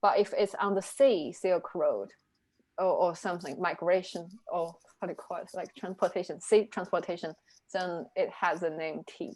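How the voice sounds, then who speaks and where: A woman with a Chinese accent speaks in a medium pitch with fairly even intonation. The recording is very clean, with a silent background. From China. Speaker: reading group co-leader. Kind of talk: casual discussion. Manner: halting.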